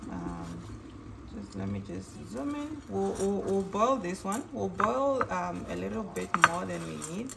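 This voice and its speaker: A woman with a Namibian accent, audible room echo and noticeable background noise around her voice. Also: fairly slow pace. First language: Oshiwambo. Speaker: cooking vlogger. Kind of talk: cooking tutorial. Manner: halting, many fillers and repeats.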